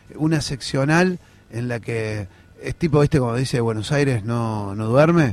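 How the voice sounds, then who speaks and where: This man has a normal speaking voice, talking at a fairly slow pace with lively intonation. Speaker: political activist. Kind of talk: interview.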